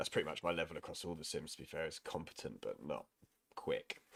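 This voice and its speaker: A man talks at a very fast pace. He has a southern English accent. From southern England, East Sussex. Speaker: sim racing streamer. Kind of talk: live stream chat while gaming. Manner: casual, rambling.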